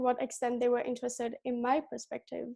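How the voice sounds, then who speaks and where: A woman with a high pitch and a dark, mellow tone talks at a fairly quick pace. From Belgium. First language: Dutch. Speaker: gap year student. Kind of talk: prepared presentation.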